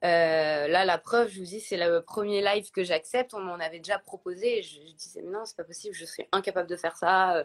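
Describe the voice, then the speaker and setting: A woman with an unremarkable speaking voice talks at a fairly quick pace and medium pitch, with fairly even intonation and big swings in loudness. The recording is very clean with a silent background and a dry, close sound with no echo. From Paris, France. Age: 30s. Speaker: influencer and blogger. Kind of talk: interview, personal testimony. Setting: Instagram live video.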